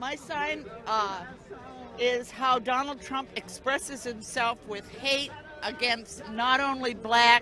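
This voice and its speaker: Through noticeable background noise, a woman with a high pitch speaks at a very slow pace with ordinary pitch variation. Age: 70s. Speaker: protester at a political rally. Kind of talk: street interview. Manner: halting.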